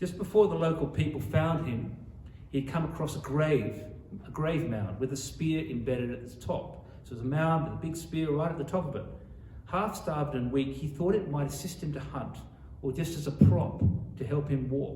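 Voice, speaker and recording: With an Australian accent, a man talks at a moderate pace and fairly high pitch, his pitch varying in an ordinary way amid audible room echo and noticeable background noise. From Sydney, Australia. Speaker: author. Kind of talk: author talk. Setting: library talk with audience.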